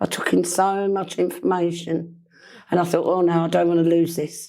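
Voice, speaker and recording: In a strong East London accent, the speaker talks with monotone, flat intonation. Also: woman, fairly low pitch for a woman, moderate pace. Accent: thick East London. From East End of London. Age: 60s. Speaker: person in recovery from alcohol dependency. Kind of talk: interview, personal testimony. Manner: hesitant, many ums.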